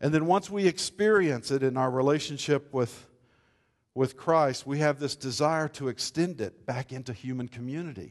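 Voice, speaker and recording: Speaking at a moderate pace over a quiet background, a man with an unremarkable speaking voice uses a fairly high pitch and ordinary pitch variation. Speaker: pastor. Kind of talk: sermon.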